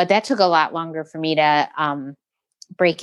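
In an unremarkable speaking voice, a woman with an American accent talks at a moderate pace and a fairly low pitch with fairly even intonation, in a dry, close sound with no echo against a quiet background. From Metro Detroit, Michigan. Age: 40s. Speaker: muralist and children's book artist. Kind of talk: interview conversation.

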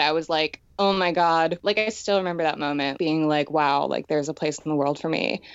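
A woman with an American accent speaks at a moderate pace. Her pitch is very deep and low, with ordinary variation. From Pennsylvania, US. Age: 20s. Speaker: makeup artist and designer. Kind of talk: casual interview.

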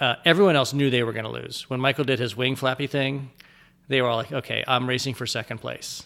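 A man's bright, sharp, medium-pitched voice with vocal fry, in a very clean recording against a silent background. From US Midwest, Ohio (outside Dayton). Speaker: sports writer. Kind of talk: interview conversation. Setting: in person. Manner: halting with repeated words.

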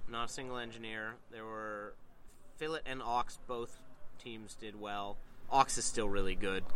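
The speaker moves at a fairly slow pace with fairly even intonation and big swings in loudness, and the room echo is audible. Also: man, medium pitch for a man. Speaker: tournament player. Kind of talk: casual chat. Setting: on location at a tournament. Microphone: poor on-location sound quality.

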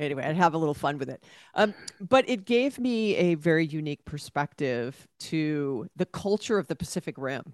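A woman with a very deep, low pitch makes very wide pitch swings, recorded with a dry, close sound, no echo and a quiet background. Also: moderate pace. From Hawaii, Honolulu. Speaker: business author and tech executive. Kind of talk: interview conversation.

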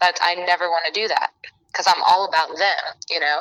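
At a moderate pace, a woman with a Southern US accent speaks in a fairly low pitch with fairly even intonation. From Alabama. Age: 20s. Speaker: podcast guest. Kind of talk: casual chat.

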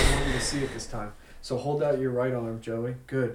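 With noticeable background noise and audible room echo, a man of medium pitch talks at a fairly quick pace with fairly even intonation. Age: 30s. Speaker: magician and illusionist. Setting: studio. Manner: measured, hushed showman's patter.

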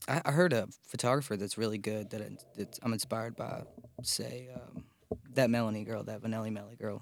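A man speaks at a medium pitch and a fairly quick pace in an ordinary speaking voice. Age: 20s. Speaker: musician. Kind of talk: casual chat.

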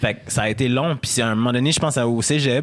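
At a fairly quick pace, a speaker with a Quebec accent is heard in a very clean recording with a silent background. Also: man. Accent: Québécois. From Quebec City, Quebec. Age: 30s. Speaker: radio host and columnist. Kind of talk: casual chat. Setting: studio.

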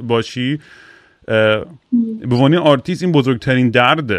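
His voice has a medium pitch, and the man shows ordinary pitch variation. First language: English stronger than Persian (speaking Persian). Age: 40s. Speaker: podcast host and musician. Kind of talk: casual chat.

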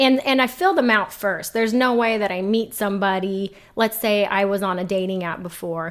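Hardly pausing, a woman with an ordinary speaking voice talks at a moderate pace, her medium pitch showing ordinary pitch variation. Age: 30s. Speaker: single mom, navy veteran, criminal justice professional. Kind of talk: casual interview.

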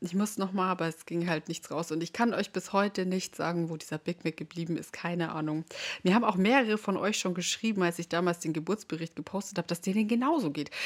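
Speaking very fast, a woman shows ordinary pitch variation. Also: medium pitch for a woman. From Bavaria, rural area near Munich. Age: 20s. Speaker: podcast host, mom influencer. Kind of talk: casual monologue.

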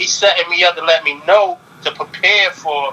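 Against noticeable background noise, a man talks in a raised, projected voice with a high pitch. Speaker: rapper. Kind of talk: casual interview. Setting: remote call.

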